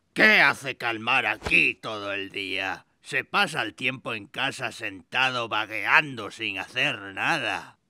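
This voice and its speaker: A man puts on a raspy character voice with an excited, grumpy tone at medium pitch. He speaks at a fairly slow pace, and his pitch varies in an ordinary way. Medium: fan dub. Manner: excited, cheering, then grumpy.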